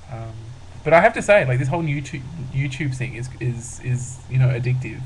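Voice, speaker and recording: A man speaks at a medium pitch, somewhat breathy. Audible room echo surrounds his voice. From rural Australia. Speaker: vlogger. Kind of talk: casual vlog monologue. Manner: hesitant, many fillers.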